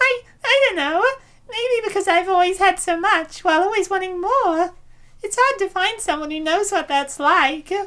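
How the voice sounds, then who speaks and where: A female-sounding voice puts on a character voice at an extremely high pitch. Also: moderate pace. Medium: fan dub. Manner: confident, self-satisfied.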